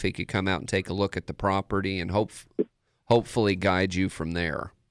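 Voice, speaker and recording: On a very clean recording with a silent background, a man speaks in a plain, everyday voice, fairly low in pitch, with fairly even intonation. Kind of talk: casual radio chat. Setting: radio studio.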